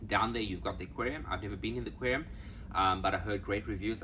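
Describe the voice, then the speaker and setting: With audible room echo, a man talks very fast at a fairly low pitch in a bright, sharp tone, with very wide pitch swings and vocal fry. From South Africa. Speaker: travel vlogger. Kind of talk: casual travel vlog. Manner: animated.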